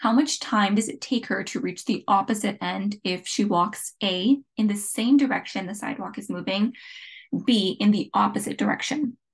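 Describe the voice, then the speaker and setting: A woman speaks at a moderate pace with a medium pitch and vocal fry. Her pitch varies in an ordinary way. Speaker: physics tutor. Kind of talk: tutorial.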